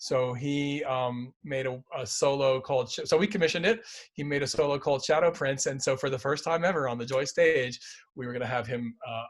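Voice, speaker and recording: A fairly quick man's voice, fairly high in pitch with ordinary variation, in a very clean recording with a silent background. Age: 60s. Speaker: choreographer and dance company director. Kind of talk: interview conversation. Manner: halting, with frequent fillers and restarts.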